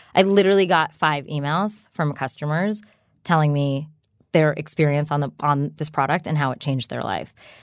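In a New Jersey accent, a woman speaks at a moderate pace with a very deep, low pitch and ordinary pitch variation. The recording is very clean, with a silent background. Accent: American, New Jersey. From US, New Jersey. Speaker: startup founder. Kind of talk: interview. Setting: studio.

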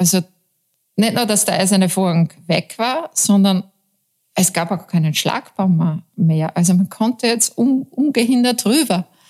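A woman's medium-pitched, somewhat breathy voice, fairly slow, with lively intonation. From Upper Austria, Mühlviertel near Bavarian and Czech border. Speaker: journalist, newspaper deputy editor-in-chief. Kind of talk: interview.

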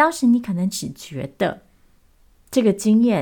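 On a very clean recording with a silent background, a woman's dark, mellow, somewhat breathy voice moves at a moderate pace through very wide pitch swings. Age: 30s. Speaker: podcast host. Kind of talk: unscripted solo talk.

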